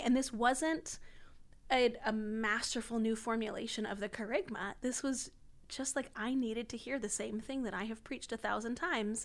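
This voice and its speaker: This is a woman talking at a moderate pace. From US, Washington DC area. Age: 30s. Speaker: itinerant missionary and speaker. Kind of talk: podcast interview about faith.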